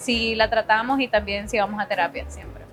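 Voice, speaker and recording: A woman talks at a fairly quick pace with music playing in the background. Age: 20s. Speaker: singer and art director. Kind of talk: testimony.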